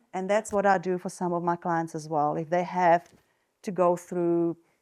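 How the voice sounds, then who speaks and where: Using a Czech accent, a woman speaks with monotone, flat intonation on a very clean recording with a silent background. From Czech Republic. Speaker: nurse and wellness coach. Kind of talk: talk to an audience. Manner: hesitant, many fillers.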